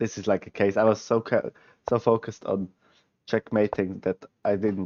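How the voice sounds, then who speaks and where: A man with a Swiss German accent, fairly low pitch and monotone, flat intonation, at a moderate pace with long, frequent pauses. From Switzerland. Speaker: chess streamer. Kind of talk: live stream chess analysis. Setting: live stream.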